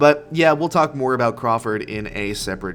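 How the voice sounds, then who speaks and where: Music plays behind a man speaking. He uses lively intonation at a moderate pace. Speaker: gaming YouTuber. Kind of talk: game review commentary. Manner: casual, conversational.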